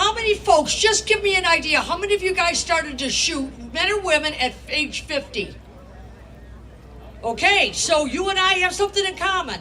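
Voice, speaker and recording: With a raised, projected voice, a woman with an American accent speaks at an extremely high pitch and a moderate pace, using lively intonation over noticeable background noise. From Upper Peninsula of Michigan. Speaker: gun rights activist and author. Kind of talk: speech at a rally.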